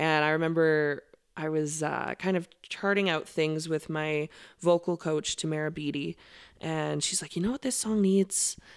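A woman with an Albertan accent, a very deep, low pitch, fairly even intonation and a moderate pace. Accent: Canadian (Alberta). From Alberta, Canada (Okotoks). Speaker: country singer. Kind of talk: casual interview chat.

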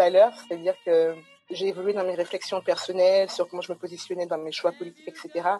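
Over noticeable background noise, a woman with a medium-pitched voice talks at a very fast pace. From Guadeloupe. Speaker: data scientist and startup co-founder. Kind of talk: webinar interview.

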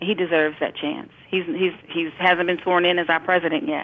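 A woman with an American accent and an ordinary speaking voice talks at a moderate pace, her fairly low pitch moving with fairly even intonation. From Brooklyn, New York. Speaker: educator. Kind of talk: casual chat.

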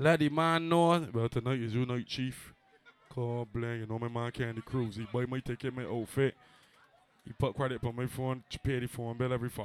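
The pitch variation is ordinary. A man talks at a moderate pace. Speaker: party host / dancehall MC. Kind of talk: live promo event with hype MC banter. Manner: animated, hyped up, boastful.

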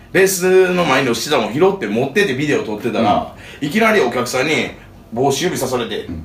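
A man speaks at a very fast pace, his fairly high pitch swinging very widely. Room echo and noticeable background noise can be heard. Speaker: touring band musician. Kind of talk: casual chat.

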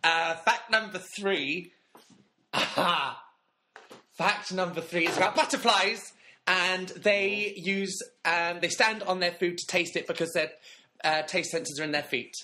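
A man's high, raised and projected voice, bright and sharp in tone, broken by long, frequent pauses. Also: ordinary pitch variation. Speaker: podcast co-host. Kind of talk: casual chat.

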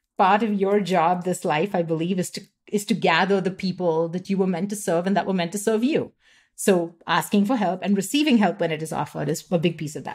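A woman speaks at a very fast pace in a medium pitch, her voice somewhat breathy with ordinary pitch variation. The recording is very clean, with a silent background. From India, Mumbai. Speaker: author and business coach. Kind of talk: interview.

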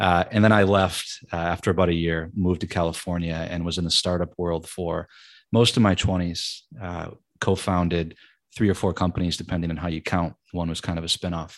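In an American accent, a man speaks at a fairly quick pace in a very deep, low, monotone voice with flat intonation, on a very clean recording with a silent background. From Michigan, US Midwest. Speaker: author. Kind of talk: podcast interview.

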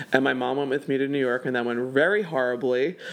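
This man has a plain, everyday voice, medium in pitch, with fairly even intonation. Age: 30s. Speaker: event producer and burlesque performer. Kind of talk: casual interview chat. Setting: home.

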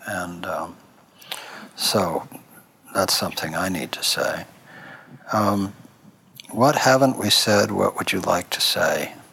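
A man with a fairly low pitch and ordinary pitch variation speaks at a very slow pace with long, frequent pauses over noticeable background noise. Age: 60s. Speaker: cancer program director and interviewer. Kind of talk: interview conversation.

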